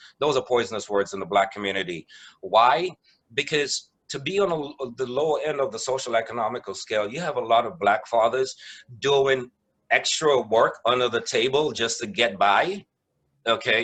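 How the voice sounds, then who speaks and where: In a West Indian accent, a man speaks at a moderate pace and a medium pitch. His intonation is lively. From West Indies. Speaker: mediator. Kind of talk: presentation.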